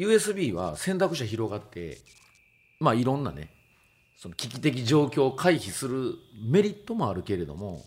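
Vocal fry at a moderate pace, with big swings in loudness and very wide pitch swings. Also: man, medium pitch for a man. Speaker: DJ and music producer. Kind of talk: casual chat. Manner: halting.

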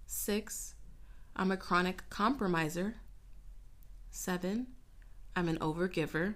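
A woman talks at a fairly slow pace and medium pitch. Her speech has long, frequent pauses and ordinary pitch variation. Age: 20s. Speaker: podcast host. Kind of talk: casual solo podcast monologue.

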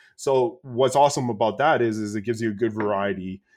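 The man talks at medium pitch and a moderate pace with fairly even intonation. He has a plain, everyday voice. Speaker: gamer guest. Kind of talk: casual chat about video games. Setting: remote call.

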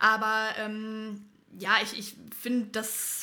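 A woman is talking here. Her voice sits fairly high. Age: 20s. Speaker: paramedic and firefighter trainee. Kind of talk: casual chat. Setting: studio, in person.

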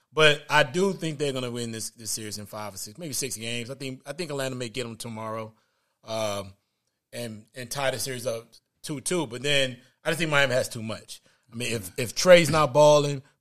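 A man speaks at a medium pitch and a moderate pace, with ordinary pitch variation. His tone is animated, and his loudness swings widely.

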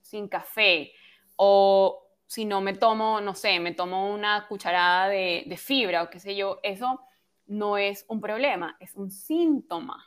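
Against a silent background in a very clean recording, a woman speaks very slowly with ordinary pitch variation. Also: medium pitch for a woman. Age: 30s. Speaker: health and hormone coach. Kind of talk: interview. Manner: soft, gentle.

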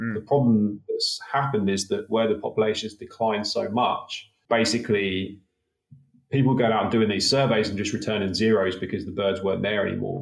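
A fairly low-pitched man's voice with a slight British accent, fairly quick in pace and fairly even in intonation. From UK. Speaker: conservation researcher. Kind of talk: interview, conversational.

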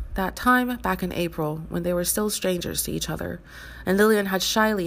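The speaker reads in an unforced reading voice.

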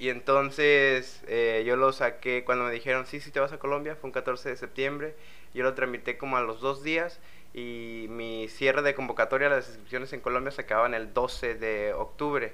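A man speaks at a medium pitch and moderate pace with monotone, flat intonation. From Mexico, Veracruz. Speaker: exchange student. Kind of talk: casual chat.

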